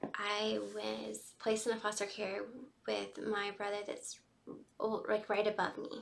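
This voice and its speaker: A woman talks at a fairly slow pace with an American accent. Noticeable background noise runs underneath. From US South, Georgia. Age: 20s. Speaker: vlogger sharing personal story. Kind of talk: personal testimony. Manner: unscripted, conversational with fillers.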